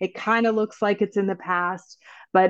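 A woman with an unremarkable speaking voice talks at medium pitch with fairly even intonation. The background is quiet. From Canada's Northwest Territories. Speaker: film writer and director. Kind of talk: interview.

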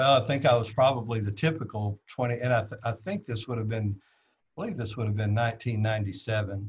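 Speaking at a moderate pace, a man has a somewhat breathy voice with ordinary pitch variation. He barely pauses. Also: medium pitch for a man. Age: 40s. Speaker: drag racer. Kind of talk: casual storytelling interview. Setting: live video stream.

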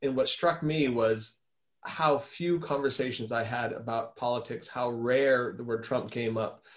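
A man with an American accent and a plain, everyday voice at a fairly slow pace. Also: medium pitch for a man, fairly even intonation. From Arizona, US Southwest. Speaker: policy think-tank expert, co-host. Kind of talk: webinar discussion. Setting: video call.

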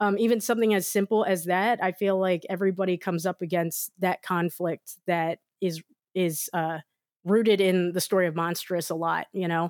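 Recorded very cleanly against a silent background with a dry, close sound and no echo, a woman speaks at medium pitch and a moderate pace with fairly even intonation. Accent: American. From rural Maryland, US. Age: 30s. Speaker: comics artist. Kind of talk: casual interview. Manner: hesitant, many fillers.

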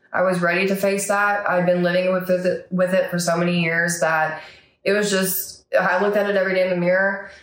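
A woman speaks at a medium pitch and a fairly quick pace, her intonation flat and monotone. Her loudness stays very even, and the room echo is audible. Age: 30s. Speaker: therapy client sharing recovery story. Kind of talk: interview testimony. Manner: hesitant with frequent fillers.

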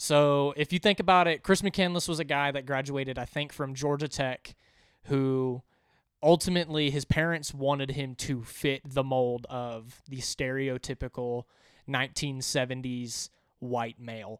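An unremarkable speaking voice at a moderate pace with fairly even intonation comes through a very clean recording with a silent background and a dry, close sound with no echo. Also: man, fairly high pitch for a man. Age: young. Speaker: podcast guest. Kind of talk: casual chat.

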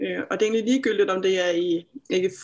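This woman's medium-pitched voice holds a moderate pace and ordinary pitch variation. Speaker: therapist and healer. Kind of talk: interview. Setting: video call.

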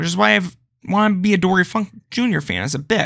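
A high-pitched man's voice on a very clean recording with a silent background. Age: 20s. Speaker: wrestling podcast host. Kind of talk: casual monologue.

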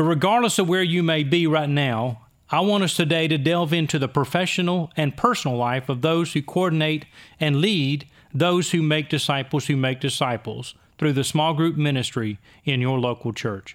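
In a very clean recording with a silent background, a man with a normal speaking voice talks at a fairly high pitch and a moderate pace, with ordinary pitch variation and very even loudness. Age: 60s. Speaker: podcast host, church ministry strategist. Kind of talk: scripted intro; casual discussion.

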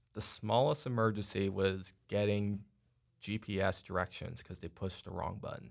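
The speaker has an American accent, vocal fry and ordinary pitch variation, and talks at a moderate pace. The recording is very clean, with a silent background. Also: man, fairly low pitch for a man. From New York. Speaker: software support technician. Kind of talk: casual interview.

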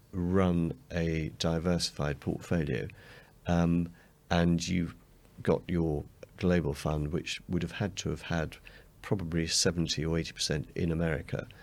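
This man has a very deep, low voice and an English accent, speaking at a fairly slow pace with fairly even intonation on a very clean recording over a silent background. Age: 50s. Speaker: fund manager. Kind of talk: interview.

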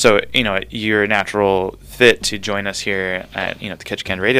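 He has an American accent and a fairly low pitch. The man speaks at a moderate pace with monotone, flat intonation. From Southern California, San Fernando Valley. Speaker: radio show host. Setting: radio booth. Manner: chatty, rambling.

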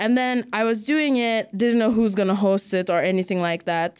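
Fairly high in pitch, a woman speaks with ordinary pitch variation in a plain, everyday voice. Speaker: comedian. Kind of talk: casual chat.

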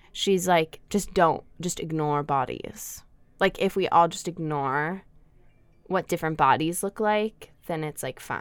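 A woman speaks at a fairly slow pace with a fairly low pitch and ordinary pitch variation, an unremarkable speaking voice. The recording is very clean, with a silent background. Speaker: student radio co-host. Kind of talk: casual chat. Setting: studio.

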